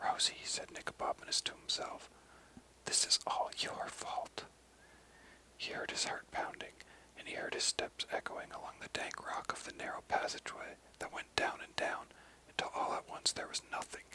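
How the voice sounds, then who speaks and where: A man speaks in a whisper. His pace is moderate. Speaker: ASMR reader / narrator. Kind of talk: whispered audiobook reading of a children's story. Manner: whispered, soft-spoken.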